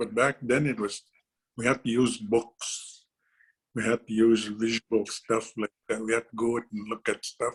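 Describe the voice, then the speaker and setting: At a moderate pace, a man with a medium pitch speaks in a flat monotone, his sound dry and close with no echo. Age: 60s. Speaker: painter. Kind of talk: presentation to students. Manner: halting, many repetitions and fillers.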